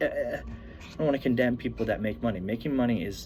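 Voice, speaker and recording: Vocal fry runs through this man's medium-pitched voice. His intonation is lively. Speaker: amateur first-time video speaker. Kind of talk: casual talk to camera. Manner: rambling, filler words, conversational.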